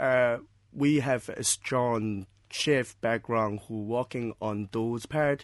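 Against a quiet background, a man speaks very slowly at medium pitch with ordinary pitch variation. The sound is dry and close with no echo. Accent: Chinese. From China, Shanghai. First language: Chinese. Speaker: restaurant owner. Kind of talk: interview. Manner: halting.

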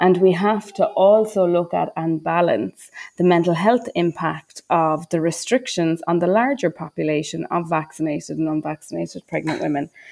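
A woman with an Irish accent talks at a moderate pace with hardly any pauses, her fairly low voice carrying vocal fry and ordinary pitch variation. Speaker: maternity care advocate. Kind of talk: casual discussion.

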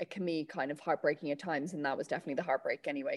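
Recorded with a dry, close sound and no echo, a woman with an Irish accent speaks in a fairly low voice with ordinary pitch variation. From Ireland, County Meath. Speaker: Olympic athlete. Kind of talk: radio interview.

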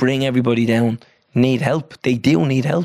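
This man's voice sits at a medium pitch and has a slightly mellow tone.

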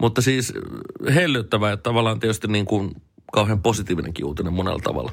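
Speaking very fast, a man uses a fairly low voice with lively intonation. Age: 40s. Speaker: radio morning host. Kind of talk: personal audio diary monologue. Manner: casual, hesitant with filler words.

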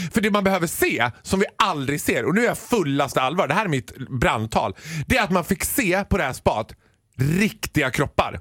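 Animated in tone, a man speaks at a moderate pace in a high pitch with very wide pitch swings and very even loudness. The sound is dry and close, with no echo. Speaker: radio comedian. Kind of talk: casual chat.

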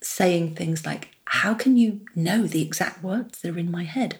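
A woman speaks with a London accent at medium pitch. Her pace is fairly slow, with ordinary pitch variation. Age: 50s. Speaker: childless women's advocate. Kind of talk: interview.

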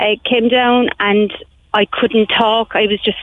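This woman speaks with a monotone, flat intonation. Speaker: assault survivor. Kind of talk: personal testimony.

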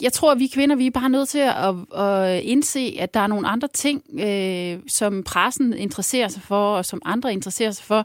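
Using an unremarkable speaking voice, a woman talks at a moderate pace with lively intonation and hardly any pauses, in a dry, close sound with no echo. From Jutland, Ørnhøj. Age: 40s. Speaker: former local politician turned consultant. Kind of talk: casual chat.

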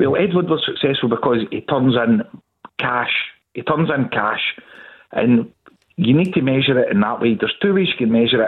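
With a Glaswegian accent, a man at medium pitch talks at a fairly quick pace, with lively intonation and long, frequent pauses. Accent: Glaswegian Scottish. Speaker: football fan caller. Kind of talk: phone-in debate.

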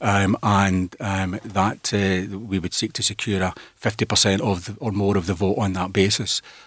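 In a Scottish accent, a man with a fairly low pitch speaks at a moderate pace with hardly any pauses and a monotone, flat intonation. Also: very clean recording, silent background. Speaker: politician. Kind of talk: radio interview.

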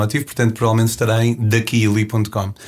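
A man talks at a very fast pace. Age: 30s. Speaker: travel show host and hitchhiking traveler. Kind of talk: interview. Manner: hesitant with repetitions.

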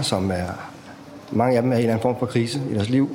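Medium pitch from a man at a very fast pace, ordinary pitch variation, audible room echo and noticeable background noise. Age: 40s. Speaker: prison transport officer. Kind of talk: casual chat.

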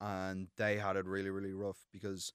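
Fairly low, flat, monotone male voice with an Irish accent, dry and close with no echo, on a very clean recording with a silent background. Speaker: student and mental health founder. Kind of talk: interview. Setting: studio. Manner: halting.

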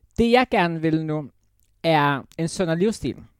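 A woman, very slow yet lively in intonation, in a dry, close sound with no echo. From Jutland, Denmark. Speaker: former reality TV contestant. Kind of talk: casual interview chat. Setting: studio.

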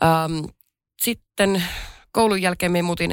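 A woman's voice at a moderate pace, very cleanly recorded against total silence. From Finnish Lapland. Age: 30s. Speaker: hospitality entrepreneur. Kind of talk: casual chat. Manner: hesitant, many fillers.

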